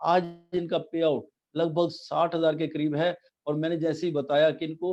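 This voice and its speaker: This man has a high pitch and a dark, mellow tone. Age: 60s. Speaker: network marketing business presenter. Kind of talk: business presentation with slides.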